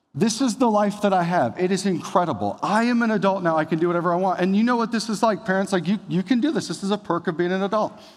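A man speaks in a high voice at a very fast pace with hardly any pauses, his tone animated and his pitch varying in an ordinary way, on a very clean recording with a silent background. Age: 30s. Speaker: pastor. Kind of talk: sermon.

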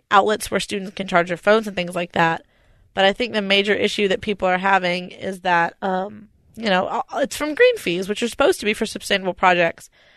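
A woman with an American accent and a normal speaking voice talks at a fairly quick pace with medium pitch and ordinary pitch variation, in a dry, close sound with no echo and a quiet background. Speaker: podcast co-host. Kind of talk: casual chat.

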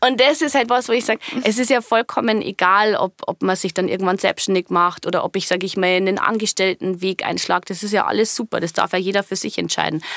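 Very fast and with hardly any pauses, a woman speaks in a slight Bavarian accent at a medium pitch with ordinary pitch variation. The sound is dry and close, with no echo. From Bavarian Forest, Bavaria. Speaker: business coach. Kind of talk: interview. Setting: studio.

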